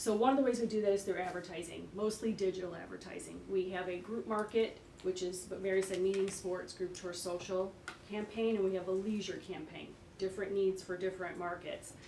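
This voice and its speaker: Amid noticeable background noise and audible room echo, a woman talks at a fairly quick pace. Her medium-pitched delivery is monotone and flat. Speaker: tourism marketing executive. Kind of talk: presentation at village board meeting. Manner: fast.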